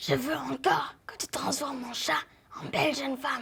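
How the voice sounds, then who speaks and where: A female-sounding voice puts on a raspy, high-pitched character voice. The pace is moderate. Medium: stage play. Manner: curt, stubborn.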